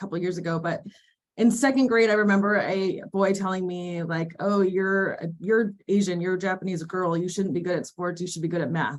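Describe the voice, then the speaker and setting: A woman with an American accent speaks at medium pitch and moderate pace, with ordinary pitch variation, in a normal speaking voice. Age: 40s. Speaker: athletic director. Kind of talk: webinar panel discussion.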